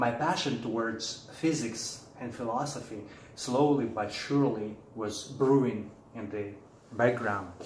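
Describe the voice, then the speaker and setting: A man with a Russian accent speaks at a fairly slow pace, his pitch medium with ordinary variation. The room echo is audible and the background noise is noticeable. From Russia, Siberia. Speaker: philosopher and author. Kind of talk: presentation.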